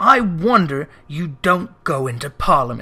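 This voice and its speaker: A man's put-on character voice, growling, high-pitched and fairly slow. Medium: read story. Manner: curt, scornful, growling.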